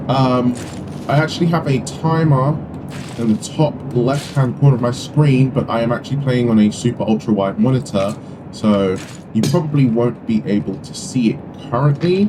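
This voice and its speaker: With a British accent, a man of medium pitch speaks at a moderate pace using lively intonation. Background noise is noticeable. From UK. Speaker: gaming YouTuber. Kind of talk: gameplay commentary. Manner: hesitant, many fillers. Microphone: poor mic quality.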